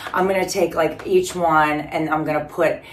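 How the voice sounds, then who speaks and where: Noticeable background noise and audible room echo surround a woman whose voice is fairly low in pitch. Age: 50s. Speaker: fitness vlogger. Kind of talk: casual vlog. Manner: rambling casual with fillers.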